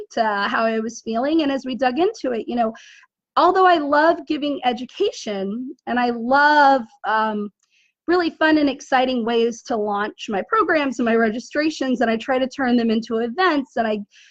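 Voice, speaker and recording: Here a woman talks at a high pitch. Her intonation is lively and her pace moderate. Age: 40s. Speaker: online business coach. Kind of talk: casual talk to camera.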